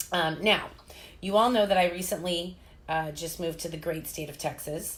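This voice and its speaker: A woman with a fairly low pitch speaks at a moderate pace with fairly even intonation and big swings in loudness, with audible room echo. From US Midwest (Chicago and Indiana). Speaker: fitness coach and live-stream host. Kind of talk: casual live-stream interview. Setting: live at a holistic health clinic.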